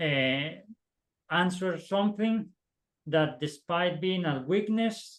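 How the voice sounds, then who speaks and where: A man talks with a non-native accent. His fairly high voice carries lively intonation. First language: not English. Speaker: optical engineer, alumni panelist. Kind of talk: panel discussion advice. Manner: halting, many repetitions and fillers.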